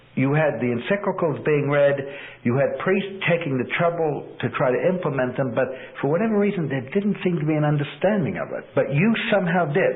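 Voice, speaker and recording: A man with an American accent, high-pitched and fairly quick, with ordinary pitch variation and noticeable background noise. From United States. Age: 50s. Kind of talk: interview.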